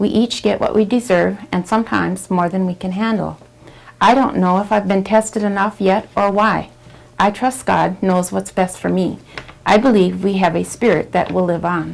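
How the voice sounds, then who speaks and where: A woman with an American accent talks at a moderate pace and medium pitch, her intonation fairly even, amid noticeable background noise. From Wisconsin, Oneida reservation near Green Bay. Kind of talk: oral history interview, reading prepared answers.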